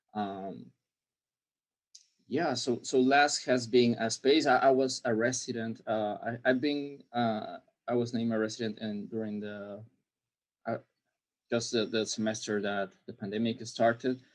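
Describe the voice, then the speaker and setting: A man speaks fairly slowly at medium pitch with fairly even intonation. Long pauses come often. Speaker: graduate student. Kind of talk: panel discussion. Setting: video call. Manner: halting.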